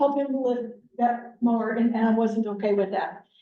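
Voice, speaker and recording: A woman with an American accent and a dark, mellow tone talks at a fairly quick pace with ordinary pitch variation, and the room echo is audible. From Wyoming, US. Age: 60s. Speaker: productivity coach. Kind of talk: motivational talk. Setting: team meeting, partly on Zoom.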